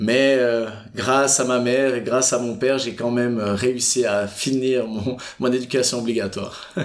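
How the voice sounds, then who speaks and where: There is noticeable background noise as a man speaks at a fairly slow pace. His voice holds a medium pitch with monotone, flat intonation. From Switzerland, Fribourg. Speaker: entrepreneur. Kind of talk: interview. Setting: office by Lake Geneva.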